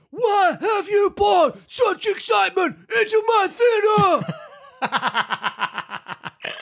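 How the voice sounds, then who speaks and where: The pace is very slow, with an extremely high pitch. A man performs a put-on character voice. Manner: dramatic, blokey.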